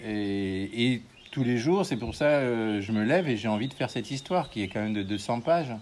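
Speaking at a fairly slow pace, the man uses lively intonation at a fairly low pitch. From France, Haute-Marne. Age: 50s. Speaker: comic book artist and painter. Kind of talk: casual interview. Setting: at his home, with birds.

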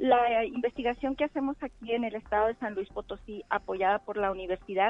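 A woman has an unremarkable speaking voice at a fairly high pitch. She speaks at a moderate pace with ordinary pitch variation. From Mexico, Chihuahua. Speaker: researcher and nursing lecturer. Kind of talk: interview. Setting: phone call. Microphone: telephone line.

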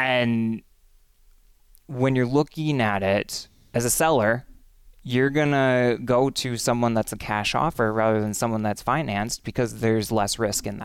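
Here a man with an unremarkable speaking voice talks at a medium pitch and a fairly slow pace. His intonation is fairly even, and the recording is very clean with a silent background. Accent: American. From Western Wisconsin, Menominee. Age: young. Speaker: congressional candidate. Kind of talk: interview.

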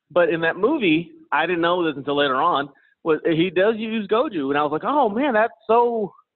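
Speaking at a moderate pace, a man uses a high-pitched voice with lively intonation. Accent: American. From Kansas City, US Midwest. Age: 30s. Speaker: professional MMA fighter. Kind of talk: interview. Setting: remote call.

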